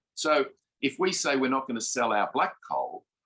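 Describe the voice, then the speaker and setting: With an Australian accent, a man speaks at a moderate pace. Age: 60s. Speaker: food company director. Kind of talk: panel discussion.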